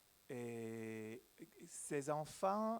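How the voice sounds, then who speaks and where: A man is speaking. He has a Hebrew accent. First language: Hebrew (speaking French). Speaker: journalist, panel speaker. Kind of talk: symposium talk. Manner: halting.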